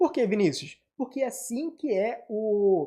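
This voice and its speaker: A man speaks in a dark, mellow tone with lively intonation. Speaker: teacher. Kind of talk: online lesson. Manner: animated.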